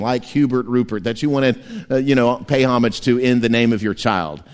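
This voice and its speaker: Speaking at a fairly quick pace, the man has a plain, everyday voice. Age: 50s. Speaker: pastor. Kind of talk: sermon. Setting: church.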